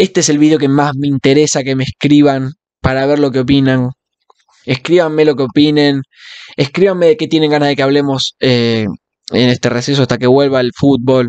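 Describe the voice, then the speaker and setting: In a Rioplatense accent, a man speaks fairly quickly at a fairly high pitch, the sound dry with no echo and the background quiet. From Argentina. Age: 20s. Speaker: football fan vlogger. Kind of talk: casual monologue. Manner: animated. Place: home room. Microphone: studio mic.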